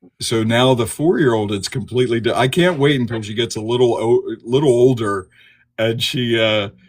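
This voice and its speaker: With an American accent, a man with an unremarkable speaking voice talks at a moderate pace and medium pitch, with ordinary pitch variation. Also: very clean recording, silent background. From Delaware, US. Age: 50s. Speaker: trauma therapist. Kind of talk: casual podcast interview.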